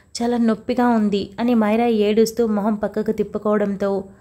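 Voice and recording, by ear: Someone is reading aloud in a natural voice. The delivery is a straightforward reading.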